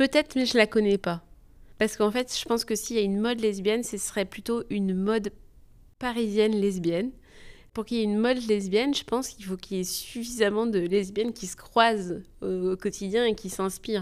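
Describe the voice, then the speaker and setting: Her pitch fairly high, a woman speaks at a fairly quick pace with fairly even intonation in a very clean recording with a silent background. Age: 30s. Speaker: teacher interviewee. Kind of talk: interview. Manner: hesitant.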